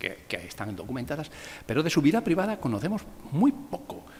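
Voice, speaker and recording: With noticeable background noise behind him, a man in a Castilian accent talks at a very fast pace with very wide pitch swings. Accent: Castilian (meseta) accent, retained. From Spain, Valladolid (Castile). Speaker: art history professor. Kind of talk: lecture.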